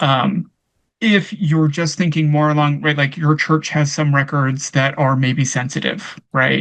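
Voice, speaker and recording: The speaker talks at a fairly slow pace against a quiet background. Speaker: archivist. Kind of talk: workshop Q&A answer.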